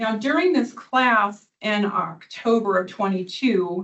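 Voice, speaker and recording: Her fairly high pitch, as a woman, moves with ordinary pitch variation. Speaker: attorney. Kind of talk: witness examination at hearing. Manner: fast; loud.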